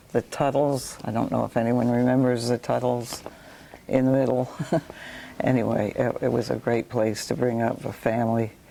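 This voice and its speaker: A woman with an American accent speaks in a very deep, low pitch at a moderate pace. Her intonation is monotone and flat, over noticeable background noise. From New York. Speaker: local resident sharing memories. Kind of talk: oral history chat. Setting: library talk with audience.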